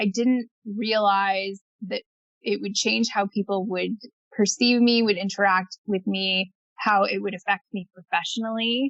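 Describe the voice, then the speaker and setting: Using an ordinary speaking voice, a woman talks at a medium pitch and a fairly slow pace, with fairly even intonation. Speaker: blogger living with multiple sclerosis. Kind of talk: podcast interview answer.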